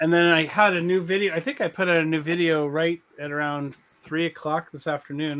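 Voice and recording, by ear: With a fairly bright tone, a man speaks at a fairly quick pace and fairly even intonation.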